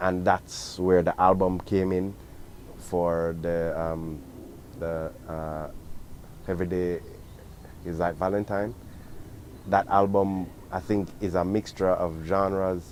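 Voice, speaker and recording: A man's very deep, low voice in a Jamaican accent, monotone and flat, at a very slow pace with long, frequent pauses. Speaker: reggae singer. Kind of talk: interview answers. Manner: halting, many fillers.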